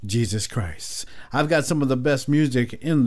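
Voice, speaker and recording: A man talks at a fairly slow pace in a normal speaking voice. His pitch is medium, with ordinary variation. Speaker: gospel radio host. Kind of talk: radio dj patter. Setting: radio studio. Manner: warm; smooth.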